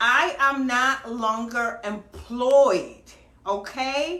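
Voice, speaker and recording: An animated woman's voice, high in pitch, raised and projected, with audible room echo. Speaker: online business vlogger. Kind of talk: casual livestream talk. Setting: home livestream. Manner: loud.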